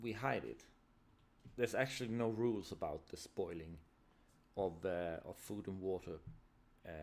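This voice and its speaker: A man talks at a moderate pace with a non-native accent and long, frequent pauses. His pitch is fairly low, with ordinary variation. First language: not English. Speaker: tabletop RPG designer streamer. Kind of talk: live stream, casual solo talk. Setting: live stream. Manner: halting, many repetitions and fillers.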